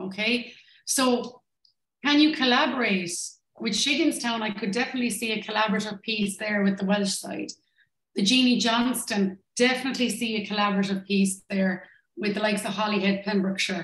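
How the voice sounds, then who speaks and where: A fairly high-pitched woman with a Limerick accent at a fairly quick pace, with ordinary pitch variation and audible room echo. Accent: Irish (Limerick). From Ireland, Limerick; Ireland. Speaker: tourism business consultant; presenter. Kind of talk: online workshop presentation. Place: home room.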